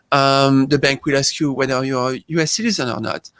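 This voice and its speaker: In a French accent, a man speaks at medium pitch and a moderate pace. His intonation is fairly even, and the sound is dry and close with no echo. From France. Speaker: tax accountant. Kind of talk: interview.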